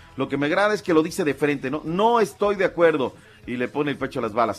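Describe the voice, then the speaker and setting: Talking at a fairly quick pace, a man with an unremarkable speaking voice uses a fairly high pitch and ordinary pitch variation. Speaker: sports commentator. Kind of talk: casual radio chat.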